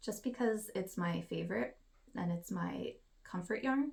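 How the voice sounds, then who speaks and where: Soft-spoken and somewhat breathy, a woman speaks at a fairly slow pace with ordinary pitch variation. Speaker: knitting podcaster. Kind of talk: casual craft vlog.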